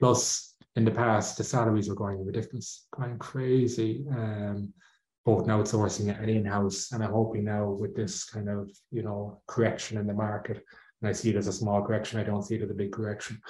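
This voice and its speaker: A man's fairly low, dark, mellow voice in an Irish accent, somewhat breathy, monotone and flat, at a moderate pace. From Ireland. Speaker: outsourcing company executive. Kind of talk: interview.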